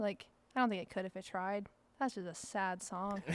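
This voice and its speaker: Fairly quick speech from a woman at a medium pitch, fairly even in intonation, on a very clean recording with a silent background. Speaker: country singer-songwriter. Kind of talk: interview answer. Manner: casual, chatty.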